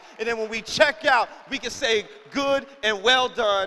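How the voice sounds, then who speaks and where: The voice is raised and projected, with an animated, bright, sharp tone. It moves at a fairly slow pace with ordinary pitch variation. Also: man. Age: 20s. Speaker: pastor. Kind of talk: sermon. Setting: church.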